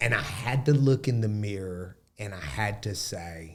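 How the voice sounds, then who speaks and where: A man with an Alabama accent, fairly low in pitch with ordinary variation, at a fairly slow pace, in a very clean recording with a silent background. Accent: Southern US (Alabama). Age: young. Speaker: podcast guest. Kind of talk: casual interview conversation.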